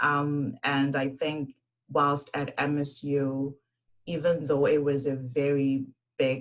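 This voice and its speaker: A woman speaks with a Zimbabwean accent. Her voice is very deep and low, and her pace is very slow. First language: Shona. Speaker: engineer, university alumna. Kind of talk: panel presentation.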